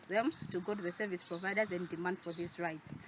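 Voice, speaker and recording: A woman speaks with a Malawian accent. Her pitch varies in an ordinary way. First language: Chichewa. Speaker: youth advocate, NGO worker. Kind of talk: short advocacy speech to camera.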